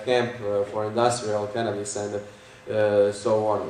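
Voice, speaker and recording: A man with a Croatian accent talks at a fairly slow pace in a fairly low, monotone, flat voice. Audible room echo and noticeable background noise come through. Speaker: conference speaker. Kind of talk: lecture. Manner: halting, many fillers.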